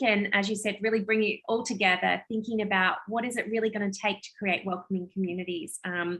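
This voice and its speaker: Her tone is bright and sharp at a medium pitch. The woman keeps fairly even intonation. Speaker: nonprofit presenter. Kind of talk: webinar presentation. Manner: fast.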